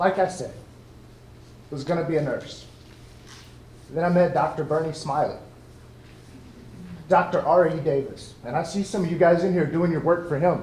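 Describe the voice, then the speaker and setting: With an American accent, a man with a high pitch talks at a moderate pace and fairly even intonation, leaving long, frequent pauses, and the room echo is audible. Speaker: Air Force veteran and college student. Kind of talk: ceremony speech. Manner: loud.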